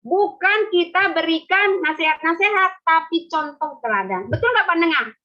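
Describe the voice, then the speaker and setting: A woman speaks in an extremely high pitch with very wide pitch swings and an animated tone. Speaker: pastor. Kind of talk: sermon. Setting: video call.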